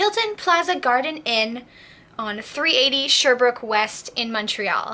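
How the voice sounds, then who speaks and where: A high-pitched woman's voice with lively intonation at a fairly slow pace, over noticeable background noise. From southern Quebec. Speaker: vlogger. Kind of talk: casual vlog storytelling. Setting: at home, early morning. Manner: quiet.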